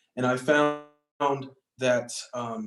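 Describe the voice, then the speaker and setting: Monotone, flat intonation from a man with an American accent, music in the background. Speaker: youth activist, former student council member. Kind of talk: panel discussion. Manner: casual, many fillers (um, you know).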